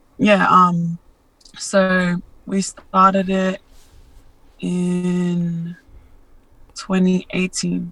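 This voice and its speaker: A woman with an Australian accent, medium pitch and a bright, sharp tone, at a very slow pace with long, frequent pauses and monotone, flat intonation. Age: 20s. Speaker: social media influencer and model. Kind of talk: interview, personal testimony. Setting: remote call. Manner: hesitant, many fillers.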